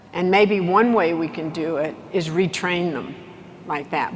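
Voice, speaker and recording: Speaking at a fairly slow pace with a Texas accent, a woman is heard with audible room echo and noticeable background noise. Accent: Texas Southern US. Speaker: business executive and keynote speaker. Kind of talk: conference keynote speech. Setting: stage with large audience.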